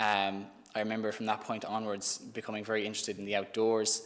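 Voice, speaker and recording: This man's pitch is fairly low. He speaks at a fairly quick pace. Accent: Irish. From Ireland (Thurles, Tipperary). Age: 20s. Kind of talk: testimony. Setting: live-streamed youth event.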